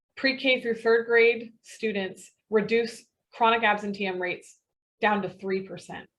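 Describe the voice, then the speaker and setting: In a normal speaking voice, a woman speaks at a fairly slow pace. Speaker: webinar presenter, sales director. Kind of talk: webinar presentation.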